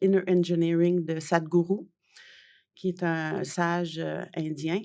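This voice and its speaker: Her intonation is monotone and flat. The woman's pitch is fairly low. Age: 60s. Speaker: journalist and author. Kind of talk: interview. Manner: hesitant, many fillers.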